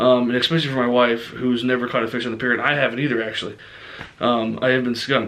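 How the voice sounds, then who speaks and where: A man's bright, sharp voice at medium pitch, very fast, with audible room echo. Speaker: fishing vlogger. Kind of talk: casual vlog talk to camera. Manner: many fillers (um, uh).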